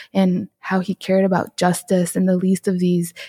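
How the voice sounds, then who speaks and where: A woman's medium-pitched voice in a Chicago accent, dark and mellow in tone, with a dry, close sound and no echo. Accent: Chicago American English. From Chicago, southwest side. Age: 30s. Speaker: photographer and entrepreneur. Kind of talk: testimony.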